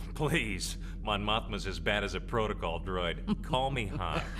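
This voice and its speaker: Loud background noise fills the recording. A man talks over it at a moderate pace. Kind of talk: audio drama performance. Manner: sarcastic, joking.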